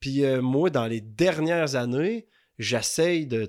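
The recording is very clean and the background silent. A man talks very slowly, his pitch varying in an ordinary way. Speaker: larp player. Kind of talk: casual chat. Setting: at his home.

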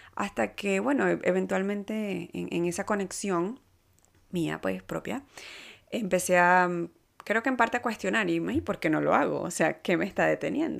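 A woman talks fairly slowly, captured in a very clean recording against a silent background. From Venezuela. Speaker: podcast host and life coach. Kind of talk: casual monologue. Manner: halting, many fillers and repetitions.

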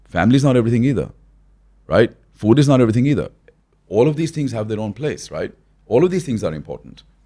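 Very fast speech from a man at medium pitch, broken by long, frequent pauses. His intonation is lively and he has vocal fry. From born in New Delhi, raised in Australia from early teens. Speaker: business and wealth mentor. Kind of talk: podcast interview. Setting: in-person studio.

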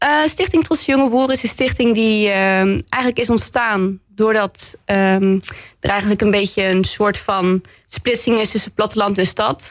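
A woman's fairly high voice at a moderate pace, an ordinary speaking voice with ordinary pitch variation and very even loudness, on a very clean recording with a silent background. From West Brabant, Netherlands (Bergen op Zoom). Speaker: municipal councillor. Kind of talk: radio interview. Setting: radio studio.

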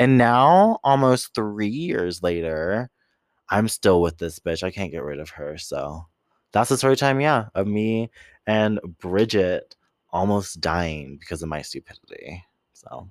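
A man's fairly low voice in an American accent, fairly slow, with very wide pitch swings and big swings in loudness, on a very clean recording with a silent background. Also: dry, close sound with no echo. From San Diego, California. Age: 20s. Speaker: podcast co-host. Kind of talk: casual chat.

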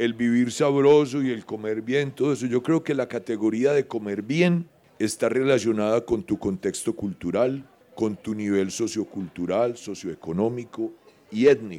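At a fairly slow pace, a man talks at a medium pitch with ordinary pitch variation and a dark, mellow tone. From Colombia, Medellín. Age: 60s. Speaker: anthropology professor. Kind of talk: interview conversation. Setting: live session with audience at a botanical garden.

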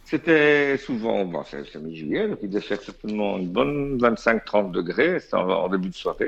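A man with a Belgian accent speaks at a fairly slow pace. His fairly low voice swings very widely in pitch. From Belgium. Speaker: DJ and music industry insider. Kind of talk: casual storytelling chat.

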